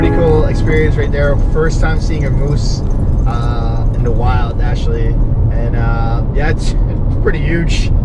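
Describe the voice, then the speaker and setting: Music plays in the background as a man speaks at a fairly slow pace. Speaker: travel vlogger driving. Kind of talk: casual vlog chat. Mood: relaxed, pleased. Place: car. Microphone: camera far.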